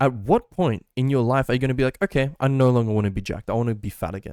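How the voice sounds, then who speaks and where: The sound is dry and close with no echo. A man at medium pitch talks at a very fast pace with ordinary pitch variation. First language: Hungarian. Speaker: tech and fitness YouTuber. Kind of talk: casual vlog advice. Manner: rambling, filler-heavy.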